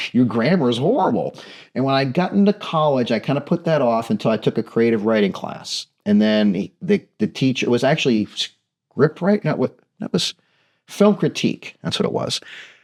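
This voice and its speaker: In an American accent, the speaker moves at a moderate pace with very wide pitch swings. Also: man, medium pitch for a man. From US Midwest, southern Ohio near Wheeling. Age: 50s. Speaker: storyteller and TV producer, interviewee. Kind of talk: interview, casual chat. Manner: halting, many false starts.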